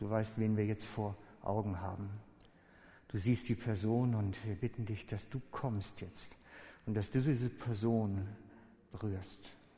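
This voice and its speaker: A man with a dark, mellow tone and fairly low pitch talks at a fairly slow pace, with fairly even intonation and long, frequent pauses. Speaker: preacher. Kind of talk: sermon. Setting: church. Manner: loud and fervent when praying, voice raised in intense pleading; personal, open-hearted.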